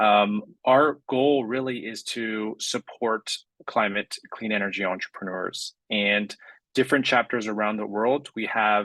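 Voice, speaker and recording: A man with a Californian accent speaks fairly slowly in a fairly low voice with fairly even intonation. His tone is bright and sharp, and the sound is dry and close with no echo. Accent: Californian American. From US West Coast, San Francisco Bay Area. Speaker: climate accelerator program director. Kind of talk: panel presentation.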